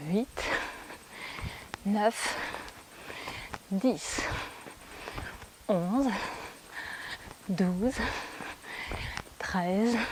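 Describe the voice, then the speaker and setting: A woman speaks softly with very wide pitch swings. Noticeable background noise comes through. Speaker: fitness and yoga instructor. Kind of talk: workout class instruction. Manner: soft-spoken.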